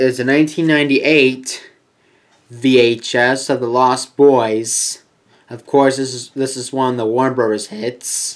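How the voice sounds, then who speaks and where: The background is quiet as a man speaks at a fairly slow pace. His intonation is monotone and flat. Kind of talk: collection showcase commentary. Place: home room. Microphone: webcam.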